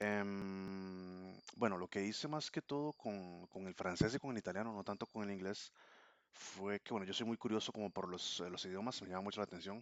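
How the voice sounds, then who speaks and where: Fairly low-pitched male speech in a Costa Rican accent, at a moderate pace with ordinary pitch variation. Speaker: language learner vlogger. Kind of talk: casual vlog monologue. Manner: hesitant, many fillers.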